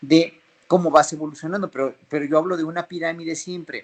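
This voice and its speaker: The speaker has a Mexican accent. The intonation stays fairly even. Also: man. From Mexico City. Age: 50s. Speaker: flutist and orchestra conductor. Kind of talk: interview.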